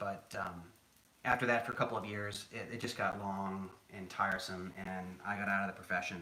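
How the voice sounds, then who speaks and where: Noticeable background noise is present. Through it, a man talks in an American accent. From New England, Boston. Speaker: home cook, former chef. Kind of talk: live cooking stream chat. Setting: home kitchen live stream. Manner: calm, soothing; casual, conversational.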